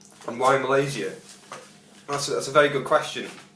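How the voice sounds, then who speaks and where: Very fast speech amid audible room echo and noticeable background noise. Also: man. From northern England, Stoke-on-Trent. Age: 20s. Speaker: job applicant, bar and front of house worker. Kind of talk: video job application. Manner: halting, many fillers and repetitions.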